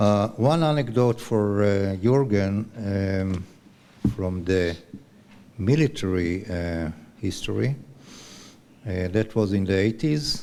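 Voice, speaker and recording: At a very slow pace with long, frequent pauses, a man with an Israeli accent speaks in a fairly low voice with a dark, mellow tone and ordinary pitch variation. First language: Hebrew. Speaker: retired army officer and scientist. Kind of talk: conference talk. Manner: halting.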